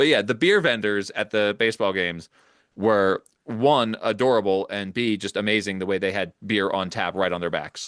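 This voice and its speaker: Here is a man with a normal speaking voice and a fairly low pitch. He talks at a moderate pace with ordinary pitch variation. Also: quiet background. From Philadelphia area. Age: 50s. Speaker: podcast host. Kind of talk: casual chat. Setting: home studio, basement.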